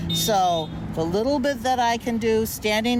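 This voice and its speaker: With background noise clearly audible, a woman with a fairly high voice speaks rather slowly, her pitch varying in an ordinary way. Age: 70s. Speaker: protest participant. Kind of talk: street interview. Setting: outdoors by busy street.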